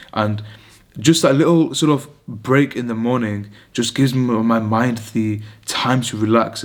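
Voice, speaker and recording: Talking at a moderate pace, a man with a British accent uses a medium pitch. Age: 20s. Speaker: vlogger, medical student. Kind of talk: casual vlog monologue. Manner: rambling, hesitant with fillers.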